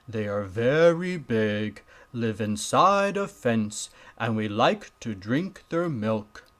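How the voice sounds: A man speaks slowly at a medium pitch, his fairly bright tone carried by lively intonation.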